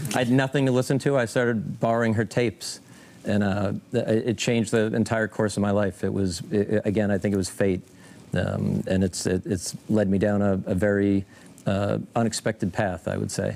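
A man's fairly low voice at a moderate pace, with very even loudness and ordinary pitch variation. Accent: American. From Massachusetts, Scituate; Massachusetts. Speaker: country musician; guest. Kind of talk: TV interview. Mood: relaxed, reflective. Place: studio. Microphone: lapel.

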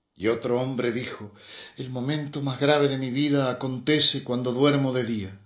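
At medium pitch and with fairly even intonation, a man speaks in an ordinary speaking voice. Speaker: poetry reader. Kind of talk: poem reading. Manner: solemn, slow, measured; heavy with emotion, intense.

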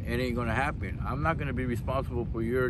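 Against noticeable background noise, a man with a very deep, low pitch talks at a fairly quick pace, the sound dry with no echo. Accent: American. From East Los Angeles. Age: old. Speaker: homeless former cook and building maintenance technician. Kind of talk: interview answer. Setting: outdoors. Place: beach. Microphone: phone near.

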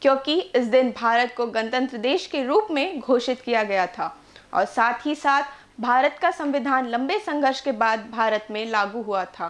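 At a moderate pace and with few pauses, a woman speaks at a fairly high pitch with ordinary pitch variation.

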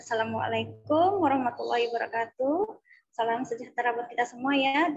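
Her pace is fairly quick, with ordinary pitch variation. A woman speaks in a high voice. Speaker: sponsor representative. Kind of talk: sales pitch. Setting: video call. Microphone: video call.

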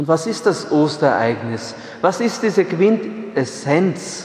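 A man speaks at a very slow pace. Room echo is audible. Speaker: priest preaching. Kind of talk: sermon. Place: church.

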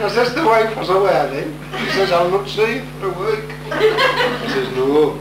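A man talks at a fairly slow pace while loud background noise fills the recording. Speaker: stand-up comedian. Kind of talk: live comedy monologue on stage. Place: stage.

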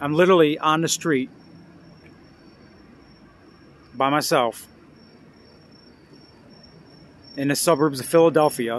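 A man speaks at a fairly slow pace with ordinary pitch variation. The sound is dry with no echo, over light background noise. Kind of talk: casual vlog chat. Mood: frustrated, weary. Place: street. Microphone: phone near.

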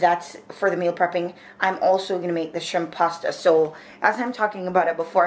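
The woman's pitch is fairly low, and her pace is moderate. Audible room echo is present.

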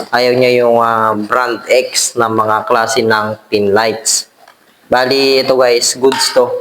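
The voice moves at a very slow pace with monotone, flat intonation and very even loudness over noticeable background noise. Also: man, medium pitch for a man. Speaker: electrician and video blogger. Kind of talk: product review tutorial. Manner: halting, many fillers.

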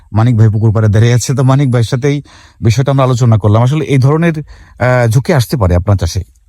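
A man's dark, mellow voice carries a slight breathiness, sitting at a middle pitch with normal rises and falls. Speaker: fish farming video host. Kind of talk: on-site educational video. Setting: outdoors at a pond.

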